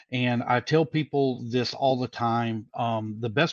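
A man at a fairly slow pace, in a dry, close sound with no echo against a quiet background. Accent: Southern US. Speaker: race director and announcer. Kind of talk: interview. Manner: folksy.

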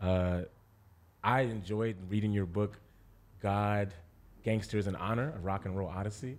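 A man's fairly low voice with ordinary pitch variation at a moderate pace, on a very clean recording with a silent background. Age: 30s. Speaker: podcast co-host. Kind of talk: casual interview conversation.

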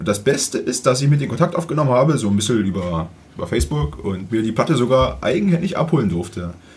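Speaking at a very fast pace, a man with a medium-pitched voice uses very wide pitch swings and vocal fry. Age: 30s. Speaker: music podcast co-host. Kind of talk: casual chat.

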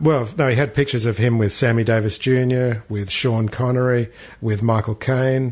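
With an Australian accent, a man speaks at medium pitch and a moderate pace, his somewhat breathy voice keeping a fairly even intonation. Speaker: podcast co-host, musician. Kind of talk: casual chat.

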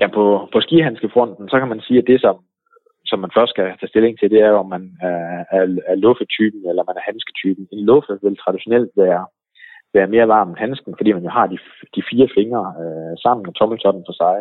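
A man's fairly low voice at a moderate pace, with big swings in loudness and ordinary pitch variation. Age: 40s. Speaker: ski website owner. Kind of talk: interview. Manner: hesitant with fillers.

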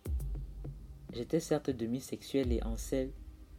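What you hear is plain reading aloud.

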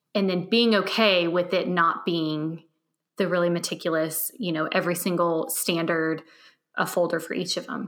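A woman speaks in a plain, everyday voice at a moderate pace and fairly low pitch, with ordinary pitch variation. The recording is very clean and the background silent. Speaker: podcast host and organization coach. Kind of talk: casual interview chat.

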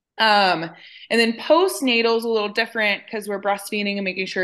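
A woman speaks at a fairly quick pace in a normal speaking voice, medium in pitch, over a quiet background. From West Texas (San Angelo). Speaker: dietitian. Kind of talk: casual interview.

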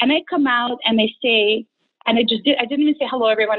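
The speaker is a woman with a fairly high pitch. She talks fast.

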